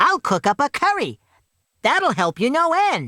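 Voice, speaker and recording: At a moderate pace, a put-on character voice speaks at a high pitch. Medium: read story.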